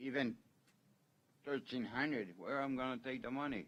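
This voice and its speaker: A man of medium pitch with a Quebec accent. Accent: Québécois French accent in English. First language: French. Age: 70s. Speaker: property owner at hearing. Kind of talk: hearing testimony.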